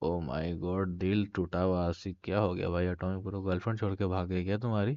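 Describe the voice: Very fast speech with little pitch movement and a slightly mellow tone. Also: man, low pitch for a man.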